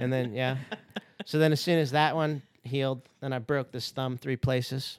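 This is a man with an ordinary speaking voice at a medium pitch. He talks at a moderate pace with fairly even intonation. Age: 40s. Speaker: skydiving instructor. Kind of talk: casual chat. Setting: studio.

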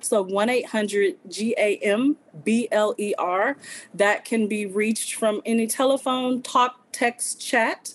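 In a Louisiana accent, a woman speaks at a very slow pace with ordinary pitch variation and very even loudness. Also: fairly high pitch for a woman. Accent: Southern US (Louisiana). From Southwest Louisiana. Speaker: problem gambling advocate. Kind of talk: interview.

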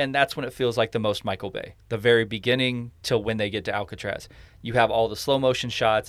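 Speaking fairly quickly in an unremarkable speaking voice, a man keeps a medium pitch with fairly even intonation. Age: 40s. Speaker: podcast host. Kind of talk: casual chat.

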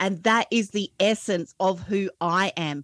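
A woman with an Australian accent, ordinary pitch variation, and a dry, close sound with no echo. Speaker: podcast coach. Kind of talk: interview. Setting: video call.

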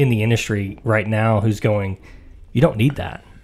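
A man with a Tennessee accent. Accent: Southern US (Tennessee). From US South, Tennessee (Mount Juliet). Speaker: IT network practice director. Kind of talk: casual podcast interview. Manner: halting, many fillers.

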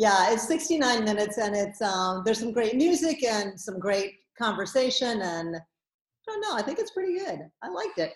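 Somewhat breathy, a woman's fairly high voice moves through very wide pitch swings. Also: moderate pace. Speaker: filmmaker. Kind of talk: casual interview.

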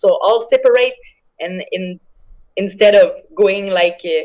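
With a French accent, a woman talks at a very slow pace with ordinary pitch variation. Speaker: MMA fighter. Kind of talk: interview. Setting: video call.

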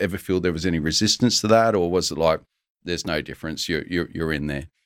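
A man with a very deep, low pitch is heard in a very clean recording with a silent background. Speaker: podcast host. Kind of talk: casual interview chat.

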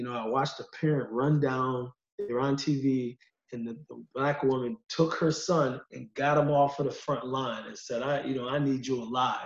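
A man with an unremarkable speaking voice talks at a moderate pace and medium pitch, with fairly even intonation, in an American accent. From US Northeast, Utica, New York. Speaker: college counselor and sociology adjunct. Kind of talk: casual discussion.

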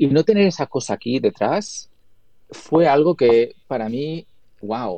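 A man's dark, mellow voice with a Spanish accent. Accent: Spanish accent when speaking English. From Spain. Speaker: video editor and colorist. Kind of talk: interview.

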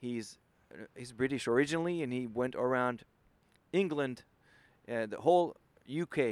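Lively intonation marks this man's medium-pitched voice with a French accent, heard on a very clean recording with a silent background. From France. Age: 40s. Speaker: ocean kayaker. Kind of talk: interview.

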